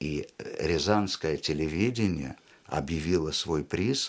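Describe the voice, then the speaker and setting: A man talks with vocal fry at a very deep, low pitch and ordinary pitch variation. The recording is very clean, with a silent background. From Uzbekistan, Tashkent. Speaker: theatre director and actor. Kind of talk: casual interview chat. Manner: animated.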